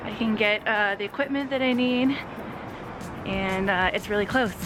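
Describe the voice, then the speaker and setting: Music plays in the background as a woman speaks at a moderate pace. Her pitch varies in an ordinary way. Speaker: vlogger and yoga studio owner. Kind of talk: casual vlog. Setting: walking outdoors.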